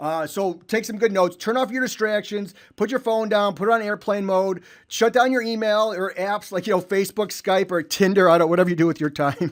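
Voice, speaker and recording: A man's high-pitched voice with a Chicago accent, energetic in tone, fairly quick, with ordinary pitch variation. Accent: Chicago-area US. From Illinois (Chicago suburbs). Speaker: real estate investor and trainer. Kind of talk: webinar presentation. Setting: online webinar. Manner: fast.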